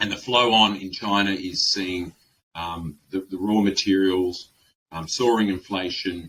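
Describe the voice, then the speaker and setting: A man with an Australian accent speaks at a fairly slow pace. His very deep, low voice has a bright, sharp tone. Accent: thick Australian. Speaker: webinar host, insolvency firm director. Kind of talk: webinar presentation. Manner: hesitant with many fillers.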